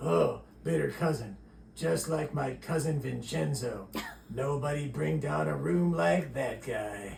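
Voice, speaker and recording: A man speaks at a fairly slow pace in a cartoonish character voice, his fairly low pitch swinging very widely, over clear background noise. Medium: puppet. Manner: groggy, broken English.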